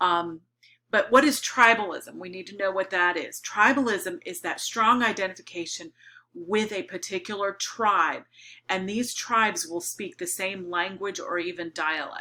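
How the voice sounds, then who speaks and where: A woman speaks at a moderate pace in a medium pitch with ordinary pitch variation. Her tone is bright and sharp, with big swings in loudness. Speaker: middle school teacher. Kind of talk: recorded lecture for students. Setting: recorded video lesson.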